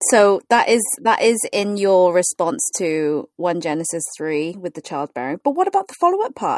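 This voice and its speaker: A woman's voice with very wide pitch swings, in a dry, close sound with no echo. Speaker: podcast host and pastor. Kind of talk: casual chat. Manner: animated.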